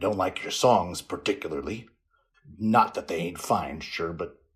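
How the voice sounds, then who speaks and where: A man's croaky, growling put-on character voice, fairly low in pitch, at a moderate pace. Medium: read story. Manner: gruff, plainspoken.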